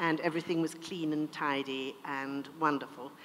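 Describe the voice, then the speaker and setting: A woman's very deep, low voice in a British accent, monotone and flat, at a moderate pace. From India then England. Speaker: author. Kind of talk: interview; reading aloud.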